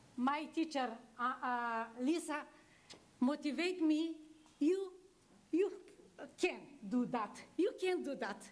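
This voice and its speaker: Speaking at a very slow pace with long, frequent pauses, a woman with a non-native accent uses a high pitch and lively intonation. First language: not English. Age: 60s. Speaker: adult literacy graduate. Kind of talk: thank-you speech. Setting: graduation ceremony with audience. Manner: halting.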